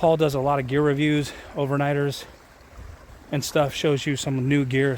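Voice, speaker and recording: A medium-pitched man speaks at a moderate pace in a monotone, flat intonation, with audible room echo. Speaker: outdoors and survival vlogger. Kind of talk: casual vlog talk to camera. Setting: outdoors on a trail; in a garage. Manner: halting, improvised with fillers.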